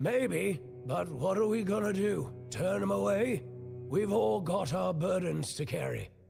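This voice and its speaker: Over clear music in the background, a man puts on a raspy character voice with fairly high pitch. He speaks at a fairly slow pace with very wide pitch swings. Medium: game stream. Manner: calm, reasonable.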